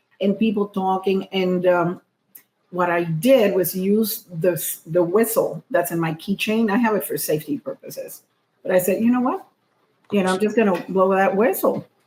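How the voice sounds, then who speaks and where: This woman speaks at a moderate pace in a medium-pitched, somewhat breathy voice with ordinary pitch variation. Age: middle-aged. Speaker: comedian and podcast co-host. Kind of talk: casual chat. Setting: happy hour at a co-host's home. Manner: soft, not projecting.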